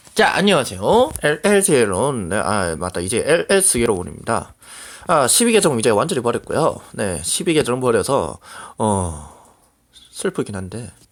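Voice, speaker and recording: A man talks at a very slow pace with vocal fry. His voice sits at a medium pitch and swings very widely up and down. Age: 20s. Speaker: gaming streamer. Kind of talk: casual vlog talk. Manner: halting.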